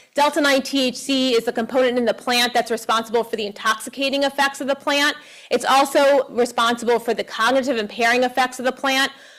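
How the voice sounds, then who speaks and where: Loud and very fast, a woman talks with hardly any pauses. Her pitch is high and her intonation monotone and flat. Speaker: professor and cannabis researcher. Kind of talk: lecture.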